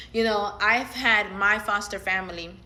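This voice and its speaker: A woman talks in an animated tone at medium pitch. The room echo is audible. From Latin America. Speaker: social media commentator. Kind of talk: casual vlog monologue. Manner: animated, filler-heavy.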